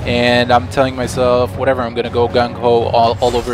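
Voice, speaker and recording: Music sounds in the background. The speech comes at a very fast pace. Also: man. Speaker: gameplay commentator. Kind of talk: video game commentary. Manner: monotone, a little sleepy.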